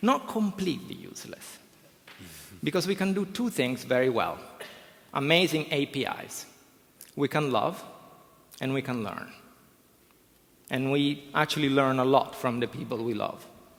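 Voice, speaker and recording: A man with an Italian accent speaks at a moderate pace in a fairly high pitch, with lively intonation and long, frequent pauses. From Italy. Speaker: professor. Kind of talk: conference talk. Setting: stage with audience. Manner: animated.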